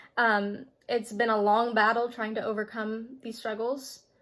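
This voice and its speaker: In a very clean recording with a silent background, a woman speaks at a fairly slow pace with a fairly high pitch. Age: 20s. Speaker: vlogger. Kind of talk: personal testimony.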